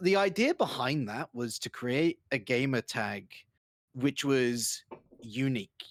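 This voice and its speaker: A man talks in a London accent at a medium pitch. The sound is dry and close, with no echo. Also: very clean recording, silent background. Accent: British (London). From England, London. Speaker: esports caster and host. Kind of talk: casual interview.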